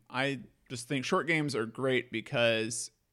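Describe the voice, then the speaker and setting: A man's medium-pitched voice at a fairly slow pace, with ordinary pitch variation and music in the background. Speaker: podcast host. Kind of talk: casual chat.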